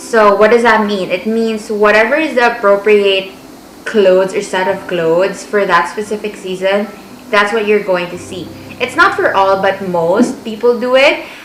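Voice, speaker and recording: There is noticeable background noise and audible room echo as a woman talks. Her pitch is medium, with ordinary variation. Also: moderate pace. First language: Filipino (Tagalog). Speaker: vlogger, language assistant. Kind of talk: casual vlog advice.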